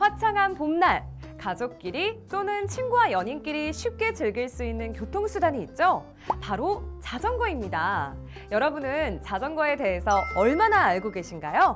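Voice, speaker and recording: Over music in the background, the speaker talks at a fairly slow pace in an upbeat tone. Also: woman. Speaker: voice actor. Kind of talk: safety education narration. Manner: friendly, upbeat.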